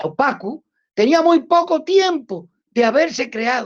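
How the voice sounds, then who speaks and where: A woman speaks with a Cuban accent. Her intonation is lively. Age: 60s. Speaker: Cuban anti-communist activist. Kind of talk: interview. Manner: halting, with many repetitions.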